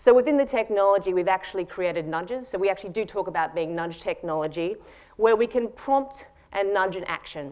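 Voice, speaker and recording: At a fairly quick pace, a woman with an Australian accent speaks at a medium pitch and with lively intonation. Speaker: tech company founder and CEO. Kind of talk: conference talk.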